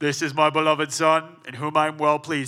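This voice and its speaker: Putting on a character voice, a man delivers booming, monotone lines at a fairly quick pace and a fairly high pitch, his intonation flat. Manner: grand, authoritative.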